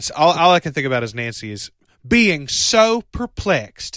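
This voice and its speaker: A man with a Southern US accent, fairly high pitch and very wide pitch swings, a bright, sharp tone, a moderate pace, and a dry, close sound with no echo. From US South. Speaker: podcast host. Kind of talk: casual chat.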